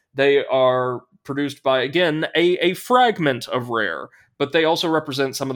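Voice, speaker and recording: On a very clean recording with a silent background, a man with medium pitch and an unremarkable speaking voice uses lively intonation. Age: 20s. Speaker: podcast host. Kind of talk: casual chat.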